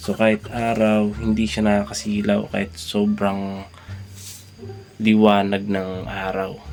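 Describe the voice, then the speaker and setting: A man speaks quietly at a fairly low pitch, with monotone, flat intonation. Noticeable background noise is present. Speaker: motovlogger. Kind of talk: casual product review vlog. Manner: quiet, subdued voice.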